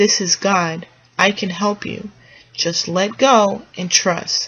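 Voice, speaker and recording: A woman puts on a booming character voice at a medium pitch and a fairly slow pace. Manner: authoritative.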